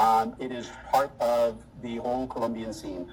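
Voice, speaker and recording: A man with an American accent talks over background noise that is noticeable. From US Northeast, Boston. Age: 60s. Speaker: retiree interviewee. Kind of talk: interview. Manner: hesitant with fillers.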